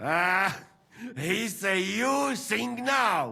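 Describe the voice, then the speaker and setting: In a raised, projected voice, a man performs a put-on character voice at a high pitch. His pitch swings very widely. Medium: video game.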